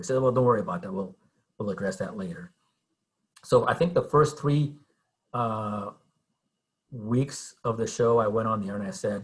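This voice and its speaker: At a moderate pace, a man speaks at medium pitch with lively intonation and a somewhat breathy voice. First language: Spanish. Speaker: TV news reporter. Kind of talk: guest talk to a class. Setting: video call.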